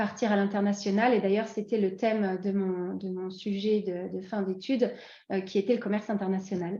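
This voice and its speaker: In a dark, mellow tone, a woman speaks at a moderate pace with monotone, flat intonation. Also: medium pitch for a woman. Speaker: expatriate interviewee. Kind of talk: podcast interview. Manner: hesitant, many fillers.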